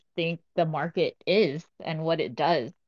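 A woman's unremarkable speaking voice, fairly low in pitch, at a fairly slow pace. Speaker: co-host leading discussion. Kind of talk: casual discussion. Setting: Twitter Spaces live audio room.

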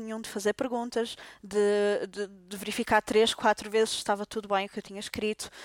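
A woman's fairly high voice with a Portuguese accent, monotone and flat yet with big swings in loudness, at a fairly quick pace with hardly any pauses, in a dry, close sound with no echo. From Portugal. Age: 30s. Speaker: doctor. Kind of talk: casual interview. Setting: at the host's home.

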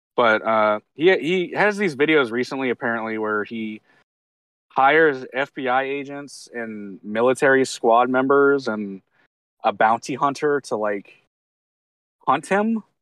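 This man has a plain, everyday voice with a medium pitch and lively intonation. He speaks at a fairly slow pace, and the sound is dry and close with no echo. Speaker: podcast guest. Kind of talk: casual comedic chat. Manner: bantering, playful.

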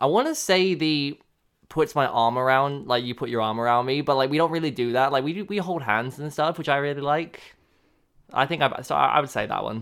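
A man with an English accent speaks at a fairly quick pace. His pitch is fairly high. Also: ordinary pitch variation. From England. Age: 20s. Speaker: radio announcer. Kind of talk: casual chat. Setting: home studio, personal microphone.

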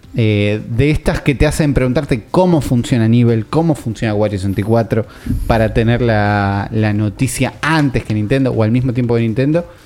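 This man talks at a moderate pace in a medium pitch with ordinary variation. His loudness is very even, and noticeable background noise sits behind him. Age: 30s. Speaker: video game podcast host. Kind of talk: casual chat.

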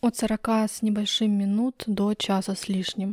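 A woman's somewhat breathy voice, dark and mellow in tone, medium in pitch, with fairly even intonation and a dry, close sound with no echo. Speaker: podcast host. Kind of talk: solo review monologue. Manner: monotone.

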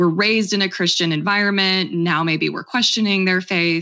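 A woman speaks at a moderate pace in a medium pitch. Hers is an unremarkable speaking voice. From Oklahoma. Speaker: author and libertarian activist. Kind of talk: interview.

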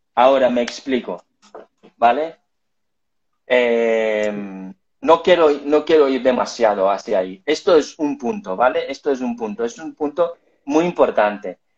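The voice moves at a fairly slow pace with lively intonation and long, frequent pauses. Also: man, medium pitch for a man. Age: 40s. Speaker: life coach. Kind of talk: interview.

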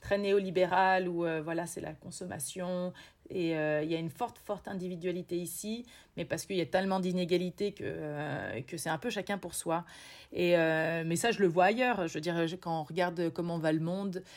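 The voice moves at a moderate pace with fairly even intonation. The recording is very clean, with a silent background. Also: woman, fairly low pitch for a woman. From central France, Berry (Bourges). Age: 30s. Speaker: polar expedition guide and lecturer. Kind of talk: interview. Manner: hesitant, many fillers.

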